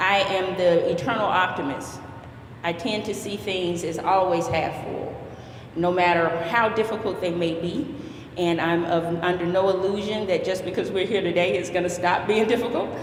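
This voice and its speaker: With noticeable background noise and audible room echo, a woman speaks at a medium pitch with fairly even intonation. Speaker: youth club director. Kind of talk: ceremony speech. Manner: halting.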